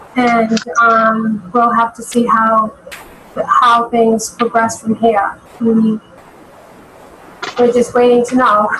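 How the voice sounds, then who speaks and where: Over noticeable background noise, a woman with a fairly high pitch speaks very slowly in a monotone, flat intonation, with very even loudness and long, frequent pauses. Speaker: city finance official. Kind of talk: public meeting. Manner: halting.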